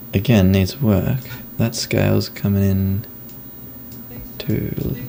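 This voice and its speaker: Over noticeable background noise, a soft-spoken voice moves at a very slow pace with ordinary pitch variation. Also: man, fairly low pitch for a man. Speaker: video editor. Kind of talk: tutorial. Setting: screen recording.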